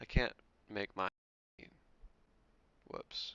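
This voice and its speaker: A man is speaking. He is soft-spoken. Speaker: sim racing streamer. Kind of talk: casual live stream chat. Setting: live stream, also on voice chat. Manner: casual. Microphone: quiet, headset mic boosted.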